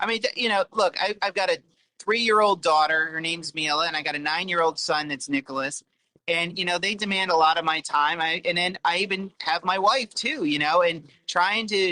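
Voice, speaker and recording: A man with an American accent talks at a fairly quick pace in a high, bright, sharp voice. The pitch varies in an ordinary way, and the sound is dry and close with no echo. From New York. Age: 40s. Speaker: self-published author and former elected official. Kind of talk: casual interview chat.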